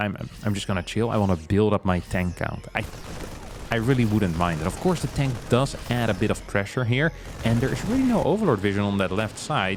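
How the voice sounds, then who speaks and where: A fairly quick pace with music in the background. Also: man, fairly low pitch for a man, ordinary pitch variation. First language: not English. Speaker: esports caster. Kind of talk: live commentary. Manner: animated.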